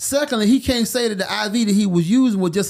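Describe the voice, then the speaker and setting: Animated in tone, a man with an American accent speaks at a high pitch with ordinary pitch variation. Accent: Alabama accent when comfortable. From Alabama, US South. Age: 50s. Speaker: boxing podcast co-host. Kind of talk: casual chat.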